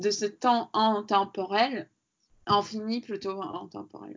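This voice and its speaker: A woman speaks very slowly at a medium pitch with fairly even intonation. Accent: Latvian. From Latvia. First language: Latvian (speaking French). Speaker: sculptor. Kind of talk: interview. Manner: halting.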